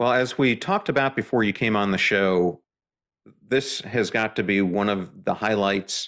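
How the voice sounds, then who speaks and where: On a very clean recording with a silent background, a man at a fairly low pitch talks at a fairly slow pace in an unremarkable speaking voice. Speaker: podcast host. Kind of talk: podcast interview.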